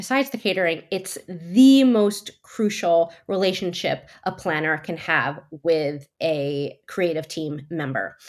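Lively intonation marks a woman's speech. Her pace is very slow. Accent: New Jersey. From US Northeast, New Jersey. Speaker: wedding planner. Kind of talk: interview.

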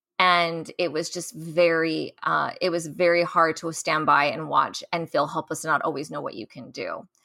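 On a very clean recording with a silent background, a woman speaks at a moderate pace with hardly any pauses, her fairly low voice bright and sharp in tone, with vocal fry. Her loudness swings widely. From US military family, moved often. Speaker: naval officer and orthodontist. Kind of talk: interview.

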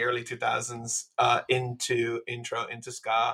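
A man with an American accent speaks at a medium pitch in a bright, sharp tone. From Miami, Florida. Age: 30s. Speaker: musician. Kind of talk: casual chat.

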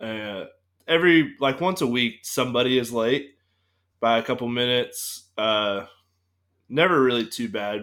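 A man talks in a normal speaking voice at a medium pitch. His intonation is lively. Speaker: podcast host. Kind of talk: casual chat.

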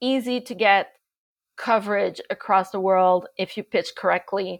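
A woman with a Quebec accent speaks at a fairly slow pace, her medium pitch showing ordinary variation, in a very clean, dry, close recording with a silent background and no echo. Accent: French-Canadian accent in English. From Montreal, Canada. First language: French. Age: 40s. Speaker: agency founder, PR, former journalist. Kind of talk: casual interview chat.

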